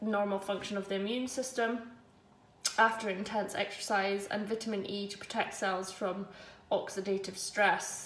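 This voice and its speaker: The woman's delivery is moderately paced. There is audible echo from the room. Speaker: runner vlogger. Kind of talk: casual vlog chat. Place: kitchen. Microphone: phone near.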